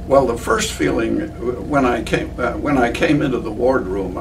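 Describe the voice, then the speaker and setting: There is noticeable background noise and audible room echo. A man speaks at a moderate pace. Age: 90s. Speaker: war veteran. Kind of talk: interview. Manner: halting.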